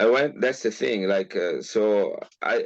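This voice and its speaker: A man talks at a fairly slow pace with an Italian accent. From northern Italy, Milan. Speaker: geneticist. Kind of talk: interview. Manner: halting, many fillers.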